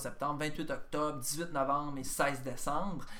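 In a room with audible echo, a man with a bright, sharp tone speaks fairly slowly and with fairly even intonation. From Quebec, Bas-Saint-Laurent (Rimouski). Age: 50s. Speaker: comedian. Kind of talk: casual chat.

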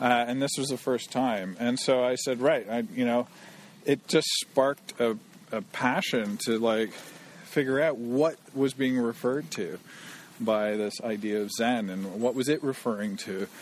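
The speaker has a Canadian accent. Pitch variation is ordinary. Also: man, medium pitch for a man, fairly slow pace. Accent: Canadian English, contrasting with host. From Canada. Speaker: programmer. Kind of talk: casual interview conversation. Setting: outdoors, walking in a forest in the rain.

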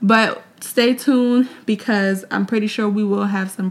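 With a New York accent, a woman speaks at a moderate pace, her fairly high pitch showing ordinary variation. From New York (Mount Vernon). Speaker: podcast co-host. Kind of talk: casual chat. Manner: laughs often.

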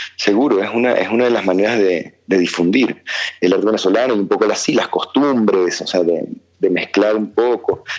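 A man with a plain, everyday voice, fairly low in pitch, ordinary pitch variation, very even loudness and a fairly quick pace. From Venezuela, born in Argentina. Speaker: musician. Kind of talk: interview. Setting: phone call.

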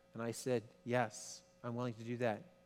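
A man with a Canadian accent at medium pitch, music playing behind him. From Quebec. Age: 50s. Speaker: pastor. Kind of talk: sermon. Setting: church. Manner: halting.

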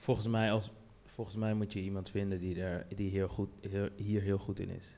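A man's voice, dark and mellow in tone, moves at a fairly slow pace with fairly even intonation. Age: 40s. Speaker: brand director. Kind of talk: panel discussion. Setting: stage with audience.

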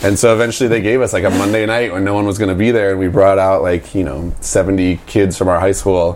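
Talking at a very fast pace with hardly any pauses, a man uses a fairly low pitch and fairly even intonation. Room echo is audible, along with noticeable background noise. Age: 30s. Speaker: music producer and label manager. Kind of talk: casual interview. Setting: at the speaker's place.

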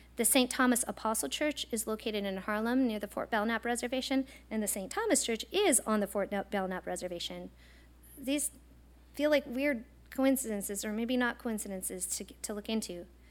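On a very clean recording with a silent background, a woman with an unremarkable speaking voice talks at a fairly quick pace and fairly high pitch, with ordinary pitch variation. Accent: American. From eastern Montana, US. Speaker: professor. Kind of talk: lecture.

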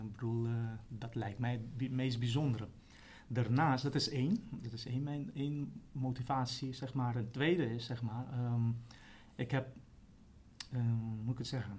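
Amid audible room echo, a somewhat breathy man speaks at a fairly slow pace with fairly even intonation and long, frequent pauses. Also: medium pitch for a man. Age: 40s. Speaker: trainee primary school teacher. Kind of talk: interview. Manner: halting.

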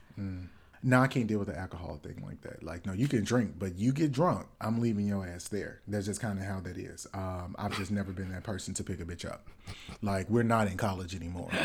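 The speaker talks at a fairly quick pace with ordinary pitch variation and big swings in loudness. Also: man, fairly low pitch for a man. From US South. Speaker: podcast co-host. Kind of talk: casual chat. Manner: put-on Southern voice this episode.

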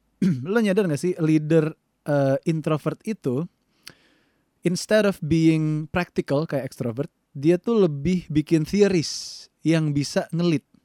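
In a dry, close recording with no echo, a man speaks very slowly at a fairly high pitch, with a dark, mellow tone and ordinary pitch variation. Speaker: podcast co-host. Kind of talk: casual chat.

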